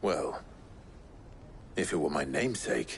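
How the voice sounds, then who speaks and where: Over clear background noise, a man does a put-on character voice pitched very deep and low. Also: moderate pace. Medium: short film.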